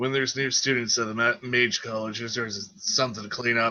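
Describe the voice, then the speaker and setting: A raspy, gruff put-on character voice rattles along at a very fast pace. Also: man, medium pitch for a man. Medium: actual play. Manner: gruff, casual.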